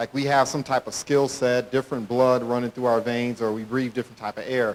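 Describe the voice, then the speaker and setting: Speaking at a fairly quick pace, a man keeps a medium pitch with monotone, flat intonation. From Detroit area, Michigan. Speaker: motivational speaker. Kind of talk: motivational talk. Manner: fast.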